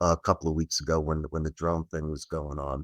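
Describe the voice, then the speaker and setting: A man with an American accent, in a dry, close sound with no echo, on a very clean recording with a silent background. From New Jersey. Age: 60s. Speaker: UFO investigator. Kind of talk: podcast interview. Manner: casual, hesitant fillers.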